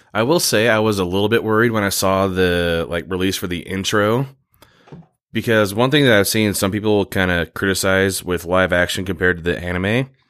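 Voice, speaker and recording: In a very clean recording with a silent background, a man uses a plain, everyday voice at a fairly low pitch with ordinary pitch variation. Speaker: podcast host. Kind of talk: tabletop role-play; casual chat.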